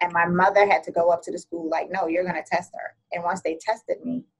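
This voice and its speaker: A woman speaks with an American accent at a fairly quick pace. Her pitch is fairly low. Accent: can switch Jamaican accent on and off. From Jamaica, then New York from age nine. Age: 40s. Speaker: podcast guest. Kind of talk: interview conversation.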